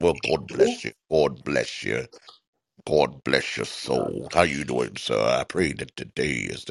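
A man's put-on character voice, very deep and low, solemn in tone, at a fairly slow pace, with a dry, close sound and no echo. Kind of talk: preacher voice. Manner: preacherly, solemn blessing.

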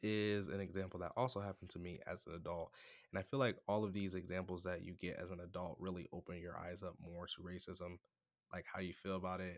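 With an American accent, a man speaks at a fairly quick pace in a very deep, low voice and fairly even intonation, captured in a very clean recording with a silent background. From United States. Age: 20s. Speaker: podcaster. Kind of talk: storytelling monologue. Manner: casual, laughs often.

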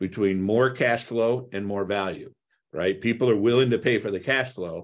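A man's ordinary speaking voice, medium in pitch, at a moderate pace with ordinary pitch variation. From US Midwest (Toledo, Ohio). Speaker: real estate investor. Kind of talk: podcast interview.

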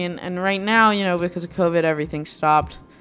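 A woman talks with a fairly low pitch and ordinary pitch variation. Music plays in the background. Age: 20s. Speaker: podcast host. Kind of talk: personal monologue. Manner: halting.

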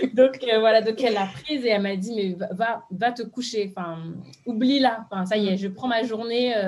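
A woman with fairly high pitch and an ordinary speaking voice. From France, Beninese parents. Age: 30s. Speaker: social media influencer. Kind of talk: interview testimony.

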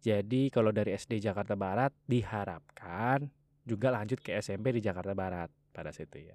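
A normal speaking voice from a man, fairly low in pitch, with big swings in loudness and a dry, close sound with no echo, on a very clean recording against a silent background. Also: ordinary pitch variation, moderate pace. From Java, Indonesia. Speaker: podcast host. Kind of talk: casual monologue.

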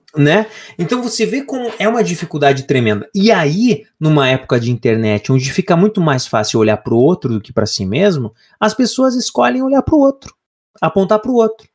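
A man's high-pitched voice at a fairly quick pace, with very wide pitch swings, in a dry, close sound with no echo. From Brazil, Paraná (Lapa). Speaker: podcast co-host. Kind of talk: casual chat.

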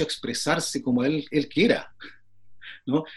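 Fairly high-pitched, a man speaks at a moderate pace with fairly even intonation. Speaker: flutist and music professor. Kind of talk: casual interview. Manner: frequent filler phrases.

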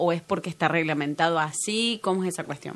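With an Argentine accent, a woman talks at a fairly quick pace with lively intonation. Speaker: podcast host. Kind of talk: interview; scripted narration.

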